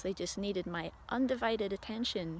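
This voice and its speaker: A woman's medium-pitched voice with a Scottish accent. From Scotland. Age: 40s. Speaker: spiritual video diarist. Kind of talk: personal video diary monologue. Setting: outdoors on a walk. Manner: halting.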